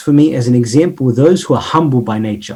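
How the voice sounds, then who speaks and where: An Australian accent from a man at medium pitch. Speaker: priest giving a talk. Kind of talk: lecture.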